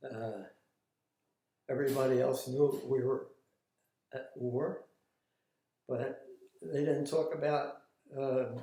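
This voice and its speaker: A man speaks at a very slow pace, somewhat breathy. His tone is dark and mellow at a medium pitch. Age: 80s+. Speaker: war veteran. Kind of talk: interview answer. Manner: hesitant.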